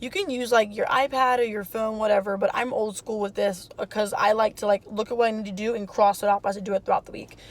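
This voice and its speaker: With hardly any pauses and fairly even intonation, the speech runs at a very fast pace over noticeable background noise. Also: woman, fairly high pitch for a woman. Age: 20s. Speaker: lifestyle vlogger, mom and student. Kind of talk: casual vlog talk to camera. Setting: in a car. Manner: casual with many fillers.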